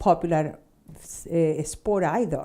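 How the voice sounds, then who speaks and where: A woman's dark, mellow tone with a Spanish accent. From Chile, Santiago. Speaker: fencing instructor and school owner. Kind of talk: interview.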